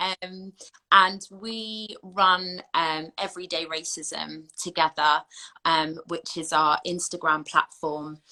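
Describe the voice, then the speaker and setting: A woman's fairly low, bright, sharp voice in an English accent, very slow in pace, with fairly even intonation and big swings in loudness. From southern England. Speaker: anti-racism educator. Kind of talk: interview.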